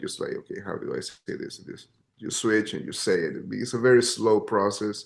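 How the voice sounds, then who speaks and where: A man speaks with a Spanish accent at a moderate pace. His pitch sits fairly low. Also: quiet background. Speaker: jazz pianist. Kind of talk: interview. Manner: halting, repeats words.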